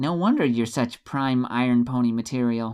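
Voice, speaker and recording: A put-on character voice at a low-to-middle pitch moves at a moderate pace on a very clean recording with a silent background. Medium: read story. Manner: polite, lightly wry.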